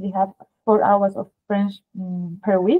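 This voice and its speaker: At a moderate pace, a woman talks with a strong Spanish accent. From Spain. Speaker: art school advisor. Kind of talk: webinar presentation.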